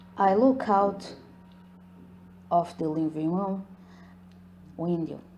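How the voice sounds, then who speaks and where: Noticeable background noise sits behind a woman with a fairly low pitch. She speaks at a very slow pace with fairly even intonation. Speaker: ASMR storyteller. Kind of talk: ASMR horror story narration.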